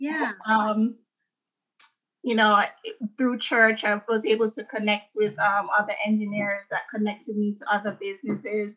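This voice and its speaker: A woman's fairly high, bright, sharp voice with a Jamaican accent, fairly even intonation and a moderate pace. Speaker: architect and dancer. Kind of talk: casual interview about personal story.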